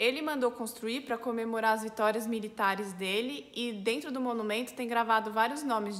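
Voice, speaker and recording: A woman speaks at a moderate pace with hardly any pauses, in a normal speaking voice. Her pitch is fairly high and her intonation fairly even. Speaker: French teacher. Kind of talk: language lesson to camera. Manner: casual, friendly.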